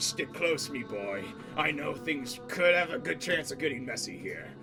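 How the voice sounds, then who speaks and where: Over loud music in the background, a man puts on a character voice at a medium pitch. He keeps a moderate pace. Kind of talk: pirate speech. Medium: actual play. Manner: gruff, paternal.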